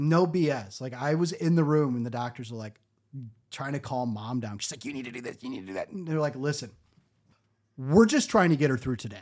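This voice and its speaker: A man with a Michigan accent, an animated tone and a fairly high pitch, on a very clean recording with a silent background. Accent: Michigan, general American. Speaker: podcast host. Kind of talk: casual comedic storytelling. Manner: sarcastic, joking, animated.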